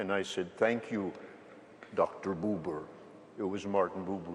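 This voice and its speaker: Noticeable background noise beneath a man's very deep, low pitch. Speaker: panelist. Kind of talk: panel discussion.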